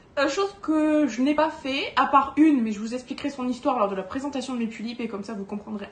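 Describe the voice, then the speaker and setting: Noticeable background noise accompanies a woman with a high voice. She speaks at a fairly quick pace with lively intonation. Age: 20s. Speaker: doll collector YouTuber. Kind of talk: casual vlog monologue. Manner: hesitant, many fillers.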